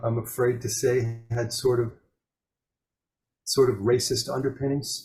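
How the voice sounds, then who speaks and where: At a moderate pace, a man speaks somewhat breathily in a medium pitch with monotone, flat intonation. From US Northeast, Long Island, Suffolk County. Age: 60s. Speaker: jazz pianist. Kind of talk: interview. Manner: halting, many fillers and restarts.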